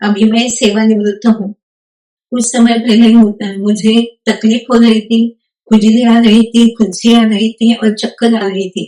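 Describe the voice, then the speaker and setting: A woman speaks with flat, monotone intonation at a fairly high pitch. Her tone is dark and mellow, and somewhat breathy. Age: 60s. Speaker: retired nurse, patient. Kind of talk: testimony. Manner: halting, with fillers.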